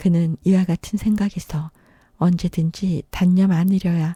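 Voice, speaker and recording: Very slow and somewhat breathy, the speech runs in a monotone, flat intonation, with a dry, close sound with no echo on a very clean recording with a silent background. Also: woman. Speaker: audiobook narrator. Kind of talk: audiobook reading of a classic short story.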